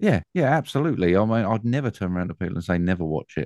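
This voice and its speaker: Fairly quick speech in an English accent, dry and close with no echo, over a quiet background. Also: man. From England. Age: 40s. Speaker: film podcast host. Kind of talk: casual chat.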